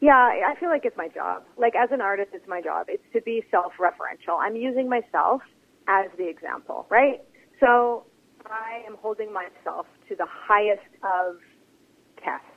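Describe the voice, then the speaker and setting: Using an unremarkable speaking voice with a Canadian accent, a woman speaks at a moderate pace with a fairly high pitch, ordinary pitch variation and big swings in loudness. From Interior British Columbia, Canada. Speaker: author and theatre artist. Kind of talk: interview.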